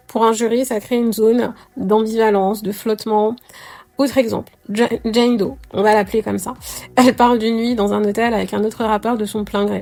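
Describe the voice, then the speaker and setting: Against noticeable background noise, a woman speaks at a moderate pace and a fairly high pitch in a monotone, flat intonation. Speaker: astrology youtuber. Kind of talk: commentary monologue. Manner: hesitant, many fillers.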